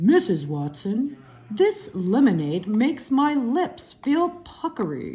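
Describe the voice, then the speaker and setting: A female-sounding voice takes on a put-on character voice with a high pitch. It moves at a fairly slow pace with very wide pitch swings. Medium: read story.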